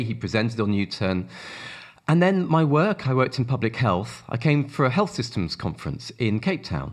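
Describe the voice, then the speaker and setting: With a British accent, a man talks at a moderate pace and lively intonation. The background is quiet. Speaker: ministry worker with the homeless. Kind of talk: interview.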